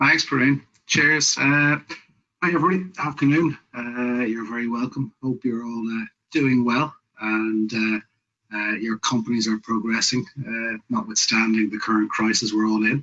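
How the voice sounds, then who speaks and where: With music playing in the background, a man speaks in an Irish accent at medium pitch with ordinary pitch variation. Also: moderate pace. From Ireland. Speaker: business network director and investor. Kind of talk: webinar presentation.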